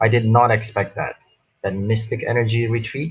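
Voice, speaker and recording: There is a somewhat breathy quality as a man talks at moderate speed. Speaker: gaming youtuber. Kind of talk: live gameplay commentary. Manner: animated.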